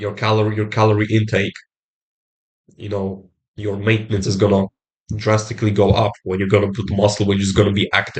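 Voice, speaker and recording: Long, frequent pauses break up a man's monotone, flat delivery. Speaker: self-improvement vlogger. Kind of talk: motivational talk to camera. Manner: halting.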